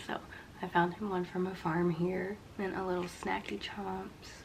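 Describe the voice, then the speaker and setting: A woman whispers and mumbles at a moderate pace. The room echo is audible, and there is noticeable background noise. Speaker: vlogger. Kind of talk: casual vlog talk to camera. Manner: whispering; mumbling.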